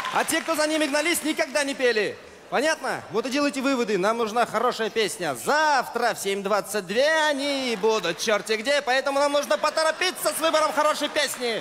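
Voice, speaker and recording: A man's fairly quick speech over light background noise. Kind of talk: comedic sketch dialogue. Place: stage. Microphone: handheld.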